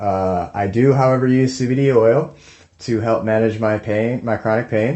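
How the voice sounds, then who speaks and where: This man has a medium pitch and an ordinary speaking voice. He talks fairly slowly with fairly even intonation. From Tennessee, US South. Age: 30s. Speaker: fitness podcaster. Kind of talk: personal story, casual monologue. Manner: casual, many fillers.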